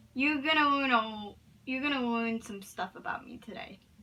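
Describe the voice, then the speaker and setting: A woman talks at a moderate pace in a high pitch, with ordinary pitch variation. Noticeable background noise runs behind her. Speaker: vlogger. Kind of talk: casual vlog talk to camera. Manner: halting, with repetitions.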